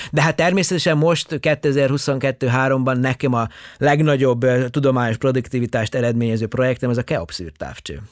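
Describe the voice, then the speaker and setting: In a plain, everyday voice, a man of medium pitch talks at a fairly slow pace with ordinary pitch variation, in a dry, close sound with no echo on a very clean recording with a silent background. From Yugoslavia (Subotica, Vojvodina Hungarian). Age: 50s. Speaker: astronomer. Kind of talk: interview.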